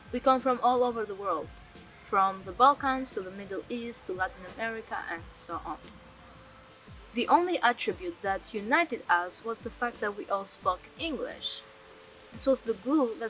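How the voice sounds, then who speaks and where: A woman speaks at a moderate pace in a fairly high pitch, with very wide pitch swings and big swings in loudness, while music plays in the background. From Albania. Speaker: documentary narrator. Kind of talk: scripted narration.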